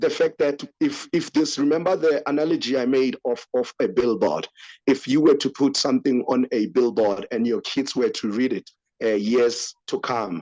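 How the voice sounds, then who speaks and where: A man with a Lesotho accent speaks at medium pitch and a moderate pace, with ordinary pitch variation and a dark, mellow tone. The sound is dry and close with no echo, over a quiet background. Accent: Sotho accent in English and Zulu. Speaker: podcast host. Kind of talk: casual commentary discussion. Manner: hesitant, many fillers.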